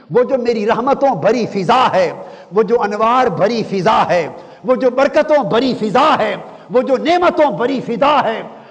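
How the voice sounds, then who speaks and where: A man speaks at an extremely high pitch with lively intonation and very even loudness over noticeable background noise. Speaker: Islamic scholar, religious speaker. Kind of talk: Islamic sermon, religious lecture. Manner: rhetorical, preaching, rhythmic repetition.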